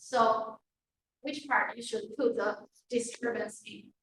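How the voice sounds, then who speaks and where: A woman with a Chinese accent speaks at a very slow pace in a bright, sharp tone, her intonation fairly even. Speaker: university lecturer. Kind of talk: lecture. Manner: halting.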